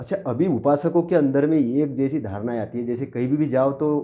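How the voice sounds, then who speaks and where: A man speaks at a fairly high pitch. He has a plain, everyday voice. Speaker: interviewer. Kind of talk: interview question.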